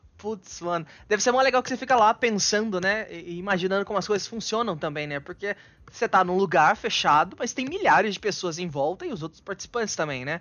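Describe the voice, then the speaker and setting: This man has a high pitch and lively intonation. He speaks at a fairly quick pace. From Bauru, interior of São Paulo, Brazil. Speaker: podcast host. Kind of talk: casual interview. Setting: live stream.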